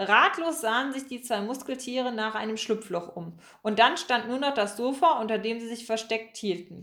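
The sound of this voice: This is an unforced reading voice. It comes across as an unforced reading voice throughout.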